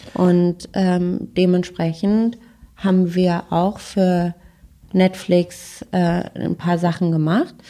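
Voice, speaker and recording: Speaking at a very slow pace, a woman uses a fairly low pitch, a dark, mellow tone, monotone, flat intonation and very even loudness. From Freiburg, southwestern Germany. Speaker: agency co-founder and CEO. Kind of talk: casual interview. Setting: in person at a PR agency office.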